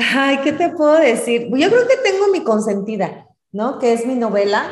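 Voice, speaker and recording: A woman's voice carries audible room echo. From Mexico, Celaya, Guanajuato. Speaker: writer. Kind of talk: interview conversation.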